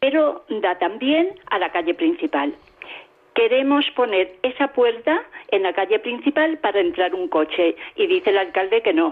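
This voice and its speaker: A woman speaks at a fairly slow pace and high pitch, her pitch swinging very widely while her loudness stays very even. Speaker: caller. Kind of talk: phone-in question. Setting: phone call.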